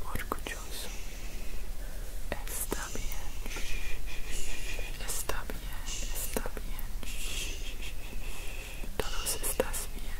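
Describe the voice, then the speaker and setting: Whispering, a man speaks at a very slow pace. Long pauses come frequently. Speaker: ASMR creator. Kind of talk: soft calming ASMR talk. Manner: gentle reassuring whisper close to mic. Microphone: studio mic.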